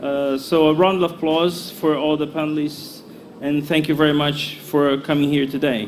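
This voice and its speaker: A fairly high male voice with audible room echo and noticeable background noise. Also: moderate pace. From Brazil. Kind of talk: panel introduction. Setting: conference hall with audience. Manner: halting, many fillers.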